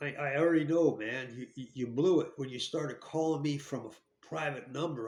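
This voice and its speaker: A man with an American accent talks at a moderate pace in a fairly high pitch, keeping his intonation fairly even. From New Jersey, US. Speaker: ex-convict storyteller. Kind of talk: casual storytelling monologue. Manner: halting, repetitive.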